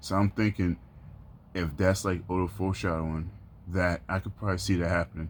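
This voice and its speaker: A man talks at a fairly quick pace in a very deep, low voice. The recording is very clean, with a silent background. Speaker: anime YouTuber. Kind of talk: casual video commentary. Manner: monotone; halting, many fillers and repeats.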